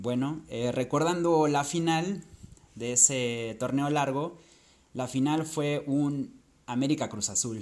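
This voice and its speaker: A fairly high-pitched man talks very slowly, with ordinary pitch variation. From Acapulco, Guerrero, Mexico. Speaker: football podcaster. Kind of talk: monologue recounting football statistics. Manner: hesitant, with fillers.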